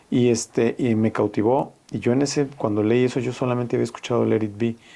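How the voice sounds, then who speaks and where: With a dark, mellow tone and medium pitch, a man talks at a fairly quick pace, his loudness very even and his intonation fairly even. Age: 60s. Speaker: veteran rock musician and music teacher. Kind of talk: casual chat.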